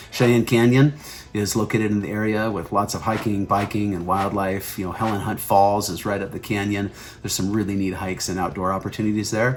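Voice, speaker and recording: Speaking at a fairly quick pace, a man uses a normal speaking voice, fairly low in pitch with fairly even intonation. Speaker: real estate agent. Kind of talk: informational video.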